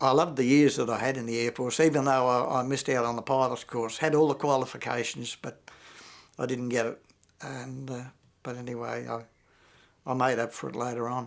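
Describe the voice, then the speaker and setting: On a very clean recording with a silent background, a man with an Australian accent speaks at a fairly quick pace, his medium-pitched voice monotone and flat in intonation. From Australia, Victoria. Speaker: war veteran. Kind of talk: interview testimony. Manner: halting, many fillers.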